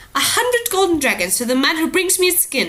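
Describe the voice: A woman's put-on character voice, high-pitched with very wide pitch swings, a fairly bright tone, and a fairly quick pace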